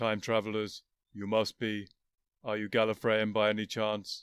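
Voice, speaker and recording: A man performs a put-on character voice at a fairly low pitch. He delivers it at a moderate pace with monotone, flat intonation. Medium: read story. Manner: flat, featureless, monotone.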